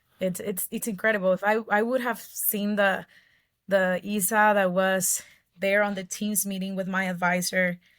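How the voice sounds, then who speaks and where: In a medium pitch, a woman speaks at a moderate pace with monotone, flat intonation. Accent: Ecuadorian. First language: Spanish. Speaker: mining engineer. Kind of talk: interview.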